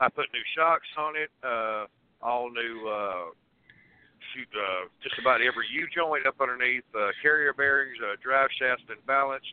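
The speaker talks at a fairly slow pace in a Southern US accent, with ordinary pitch variation. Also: man, medium pitch for a man. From Tennessee. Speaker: truck driver. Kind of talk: call-in question. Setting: phone call.

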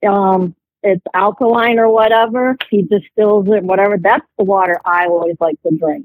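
In an ordinary speaking voice with an American accent, a woman talks at medium pitch and a moderate pace with ordinary pitch variation, the sound dry and close with no echo. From Ohio. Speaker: caller. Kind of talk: phone-in question.

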